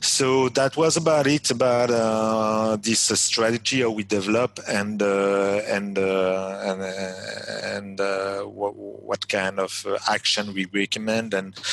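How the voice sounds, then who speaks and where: Very slow, fairly even speech from a man with a fairly low pitch, over noticeable background noise. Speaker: webinar presenter. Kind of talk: webinar presentation. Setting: online webinar. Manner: halting, many hesitations and repetitions.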